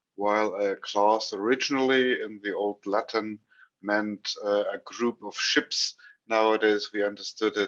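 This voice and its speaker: A man with a German accent, fairly low in pitch and fairly slow in pace, in a dry, close sound with no echo. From Germany. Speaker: trainer and speaker. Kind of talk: lecture. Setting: video call. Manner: halting.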